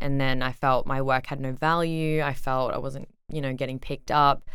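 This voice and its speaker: This woman has an Australian accent. Her pitch is very deep and low. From Brisbane, Australia. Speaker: DJ. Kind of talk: casual interview chat.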